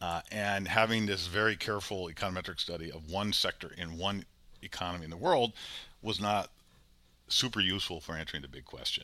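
On a very clean recording with a silent background, a man with an American accent talks at a fairly quick pace in a very deep, low pitch, his tone bright and sharp and his pitch variation ordinary. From US Midwest, Chicago. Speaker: economics professor. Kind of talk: interview.

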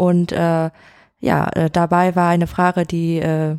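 A woman with a Vietnamese accent speaks at a fairly low pitch in a dark, mellow tone, recorded very cleanly against a silent background with a dry, close sound and no echo. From Vietnam, Hanoi. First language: Vietnamese (speaking German). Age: 20s. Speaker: editor at an education agency. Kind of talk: interview. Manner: halting, many fillers.

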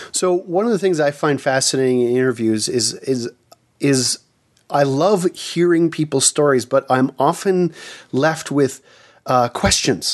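This is an unremarkable speaking voice from a man. He talks at a fairly high pitch and a fairly slow pace. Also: ordinary pitch variation, very even loudness.

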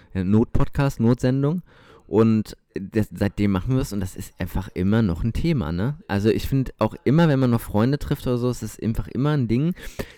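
Lively intonation and a dark, mellow tone come at a fairly quick pace, in a dry, close sound with no echo. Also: man, medium pitch for a man. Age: 20s. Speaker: podcast co-host. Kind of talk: casual chat. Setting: recording at co-host's home.

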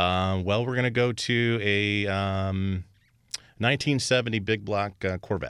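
A man with an American accent speaks at a very slow pace. His intonation stays fairly even. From Indiana. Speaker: custom car shop owner. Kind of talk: casual interview.

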